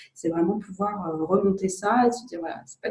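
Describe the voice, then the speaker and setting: Woman, an ordinary speaking voice, medium pitch, ordinary pitch variation, moderate pace. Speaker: psychologist and coach. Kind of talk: interview questions.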